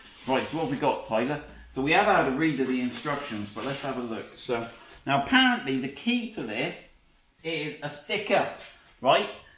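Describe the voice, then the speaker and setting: Very wide pitch swings mark a man speaking at a moderate pace, with light background noise and audible room echo. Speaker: presenter. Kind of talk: casual tutorial chat. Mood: jokey, laughing. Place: workshop. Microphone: camera far.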